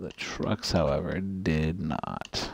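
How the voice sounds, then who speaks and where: Quietly, a man talks with ordinary pitch variation. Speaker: gaming streamer. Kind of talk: gameplay commentary.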